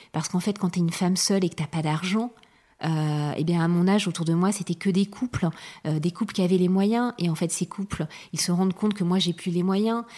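A woman's dark, mellow, somewhat breathy voice at very even loudness, on a very clean recording with a silent background. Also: medium pitch for a woman, fairly quick pace. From France, Charente-Maritime (southwest). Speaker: interviewee sharing family story. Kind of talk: personal testimony. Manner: hesitant, many fillers.

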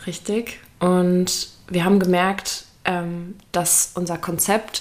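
This is a woman speaking. Her pitch is medium. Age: 20s. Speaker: podcast co-host. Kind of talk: casual chat.

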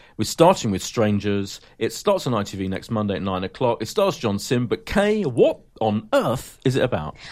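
In a British accent, a speaker with a playful, animated tone and lively intonation talks at a moderate pace with hardly any pauses on a very clean recording with a silent background. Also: man, medium pitch for a man. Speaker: podcast host. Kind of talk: casual chat about TV. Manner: playful banter, animated.

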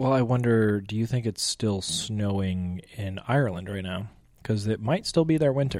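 This man has an unremarkable speaking voice, fairly low in pitch, moving at a moderate pace with ordinary pitch variation. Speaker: guest, YouTube creator. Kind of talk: casual chat. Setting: on location in an Irish pub. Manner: joking, playful.

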